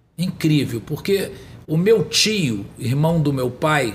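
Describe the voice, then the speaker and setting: A man talks at a very slow pace in a fairly high pitch. His intonation is lively. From Brazil, São Gonçalo (Rio de Janeiro state). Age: 50s. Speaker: politician. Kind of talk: interview. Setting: studio.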